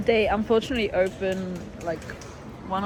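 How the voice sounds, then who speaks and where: With a non-native accent, the speaker moves at a fairly quick pace over noticeable background noise. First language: not English. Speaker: artist vlogger. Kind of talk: vlog. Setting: convention hall.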